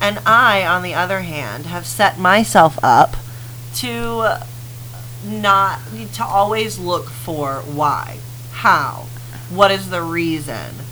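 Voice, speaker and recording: Amid noticeable background noise and audible room echo, a woman with a very deep, low pitch talks very slowly, her pitch swinging very widely, with long, frequent pauses. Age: 30s. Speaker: podcast co-host. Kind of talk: casual chat.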